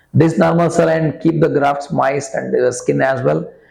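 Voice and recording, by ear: At a fairly quick pace, a man speaks with a fairly high pitch, a slightly mellow tone and vocal fry, as the room echoes audibly.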